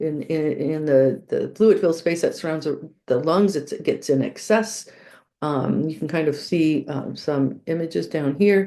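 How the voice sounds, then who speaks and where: A woman speaks at a fairly slow pace with a very deep, low pitch and vocal fry. Her tone is dark and mellow, with ordinary pitch variation over a quiet background. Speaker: nursing pathophysiology instructor. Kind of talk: recorded lecture. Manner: halting, many fillers.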